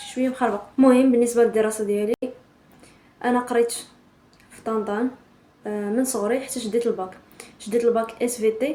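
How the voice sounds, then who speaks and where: A woman talks at a fairly quick pace with fairly even intonation. Her fairly high voice has a dark, mellow tone. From Morocco, Tan-Tan. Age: 20s. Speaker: vlogger. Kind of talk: casual intro vlog.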